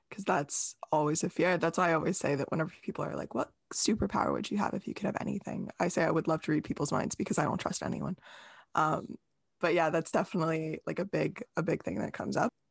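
Very fast and marked by vocal fry, a woman's fairly low voice shows ordinary pitch variation, recorded dry and close with no echo on a very clean, silent background. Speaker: podcast host. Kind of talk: podcast interview, scripted intro then casual conversation.

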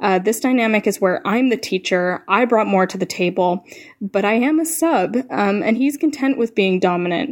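Pitched fairly high, a woman speaks at a fairly quick pace in a normal speaking voice. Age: 20s. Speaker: caller. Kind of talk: voicemail question. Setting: phone message.

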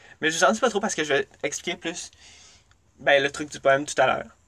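With a Quebec accent, a man speaks at a fairly quick pace in a fairly high pitch. His tone is bright and sharp, and the background is quiet. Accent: Québécois French. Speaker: podcast host. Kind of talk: solo monologue. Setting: recording in a closet.

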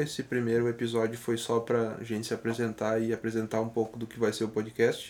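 Here a man speaks at a moderate pace with a medium pitch. He has a plain, everyday voice. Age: 20s. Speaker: podcast co-host, journalist and musician. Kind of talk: casual chat.

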